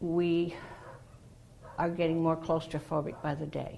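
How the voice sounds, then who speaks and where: A woman with an American accent speaks in a very deep, low pitch with a dark, mellow tone and vocal fry. Her pace is moderate. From Massachusetts, south coast. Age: 70s. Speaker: retiree, hurricane survivor. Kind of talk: interview.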